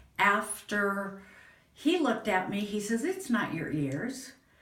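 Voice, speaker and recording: With an American accent, a woman speaks at a fairly slow pace and medium pitch with very wide pitch swings, and audible room echo. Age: 60s. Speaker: patient. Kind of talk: testimony. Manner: halting.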